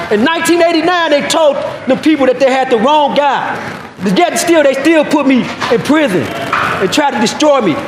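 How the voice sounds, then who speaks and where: With audible room echo and noticeable background noise, the speech moves at a moderate pace with ordinary pitch variation and very even loudness. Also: man, extremely high pitch for a man. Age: 50s. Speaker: exonerated former prisoner. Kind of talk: press statement. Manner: emotional, emphatic.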